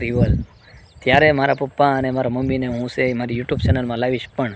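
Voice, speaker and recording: This man's voice sits at a medium pitch. His intonation stays monotone and flat. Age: 20s. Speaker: vlogger. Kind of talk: personal vlog testimony.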